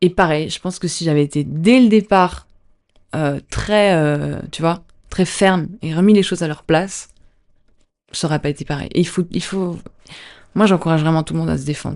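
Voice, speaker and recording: Against a quiet background, a woman with a fairly low pitch and ordinary pitch variation speaks at a moderate pace, with long, frequent pauses and big swings in loudness. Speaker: dancer and actor. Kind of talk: podcast interview. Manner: calm; soft-spoken.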